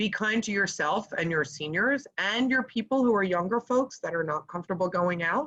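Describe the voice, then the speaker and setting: An animated woman at medium pitch, bright and sharp in tone, with lively intonation. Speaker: fundraising consultant. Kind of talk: webinar presentation. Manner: fast.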